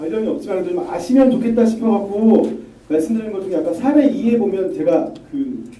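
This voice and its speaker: There is audible room echo and noticeable background noise. A man speaks at a high pitch with very wide pitch swings. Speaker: lawyer giving a lecture. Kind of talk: lecture.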